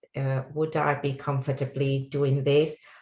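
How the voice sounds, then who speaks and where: Speaking fairly slowly, a woman with a very deep, low pitch sounds somewhat breathy. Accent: Sri Lankan. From Sri Lanka. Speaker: technology executive. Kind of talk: panel discussion.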